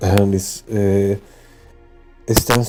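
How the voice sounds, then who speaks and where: Monotone, flat intonation at a very slow pace with a non-native accent, over music in the background. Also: man. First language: not English. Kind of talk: casual spiritual talk to camera. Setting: close to the mic. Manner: hesitant, many fillers.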